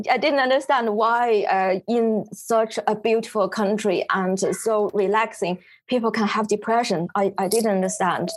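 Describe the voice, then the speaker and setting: In a Chinese accent, the speaker goes at a fairly slow pace with ordinary pitch variation and very even loudness. The recording is very clean, with a silent background. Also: woman, fairly high pitch for a woman. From China, Beijing. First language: Mandarin Chinese. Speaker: photographer. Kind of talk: interview. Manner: halting.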